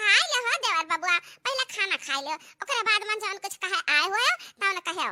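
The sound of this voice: A cartoonish character voice from a woman, extremely high in pitch, with a dry, close sound and no echo. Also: moderate pace.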